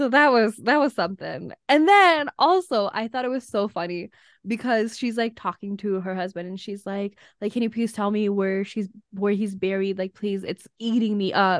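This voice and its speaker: In a dry, close sound with no echo and a quiet background, a woman with an ordinary speaking voice talks at a moderate pace, medium in pitch with ordinary pitch variation. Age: 20s. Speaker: podcast co-host. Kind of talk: casual chat.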